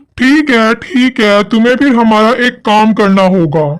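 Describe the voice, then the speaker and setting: A cartoonish character voice, fairly high in pitch, at a fairly slow pace. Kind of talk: spooky cartoon villain. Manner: menacing, theatrical.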